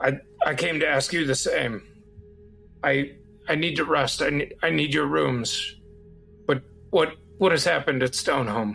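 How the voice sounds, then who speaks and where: Delivered at a moderate pace in a put-on character voice, the speech has faint music in the background. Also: man, fairly high pitch for a man. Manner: stern, not quite yelling.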